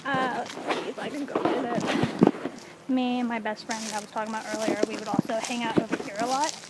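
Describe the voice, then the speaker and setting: A woman speaks at a moderate pace in a high voice, her pitch varying in an ordinary way. Background noise is noticeable. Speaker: vlogger giving a walking tour. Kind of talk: casual vlog narration. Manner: whispering.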